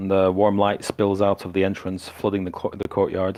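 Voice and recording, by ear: Someone reads aloud here in a natural voice.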